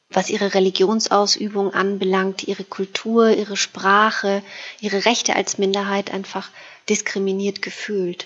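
A woman talks with monotone, flat intonation. Her pace is fairly slow. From Romania (Transylvania and Banat). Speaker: novelist. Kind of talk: interview about her novel. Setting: remote call from her desk at home. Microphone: remote line.

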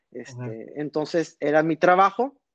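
The man has an unremarkable speaking voice, fairly high in pitch with ordinary pitch variation. The sound is dry and close with no echo, over a quiet background. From northern Mexico, Reynosa, Tamaulipas. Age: 30s. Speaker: magician, former magic shop employee. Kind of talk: casual interview.

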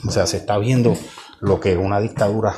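Against noticeable background noise, a man talks at a fairly low pitch with ordinary pitch variation. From Puerto Rico (Ciales). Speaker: podcaster. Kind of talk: political commentary monologue. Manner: halting, many repetitions and fillers.

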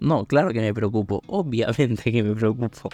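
A medium-pitched male voice with a dry, close sound, no echo and a quiet background. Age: 20s. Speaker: podcast host. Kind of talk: casual monologue. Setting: lying in bed at home. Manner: halting, many fillers.

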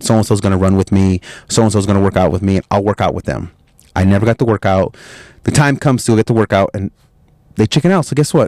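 Against a silent background in a very clean recording, a man speaks at a very fast pace in an animated tone. His pitch is fairly low with ordinary variation. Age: 30s. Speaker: motivational podcast host. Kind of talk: motivational monologue.

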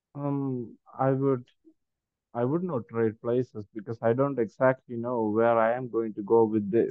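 A man with an Indian accent speaks at a fairly slow pace, medium in pitch and fairly even in intonation. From Kerala, India. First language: Malayalam. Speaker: spiritual teacher and speaker. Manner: hesitant, filler-heavy.

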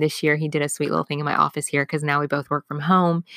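Dry and close with no echo, a woman with a very deep, low pitch speaks in an animated, bright, sharp tone on a very clean recording with a silent background. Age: 30s. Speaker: business coach podcast host. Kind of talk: casual solo podcast monologue.

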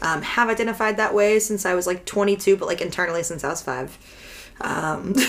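A woman of medium pitch talks at a fairly quick pace with ordinary pitch variation. Noticeable background noise can be heard. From Texas. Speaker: podcast guest. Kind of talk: casual chat.

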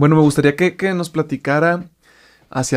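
A man's fairly even intonation, in a dry, close sound with no echo. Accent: Mexican. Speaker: podcast host. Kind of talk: interview.

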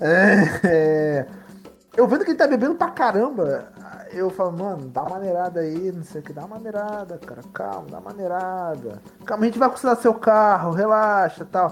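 A man speaks at a moderate pace in a high voice, with lively intonation and big swings in loudness, while music plays in the background. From Baixada Fluminense, Rio de Janeiro (Belford Roxo). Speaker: tabletop RPG player, RPG channel host. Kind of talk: tabletop RPG session, casual roleplay.

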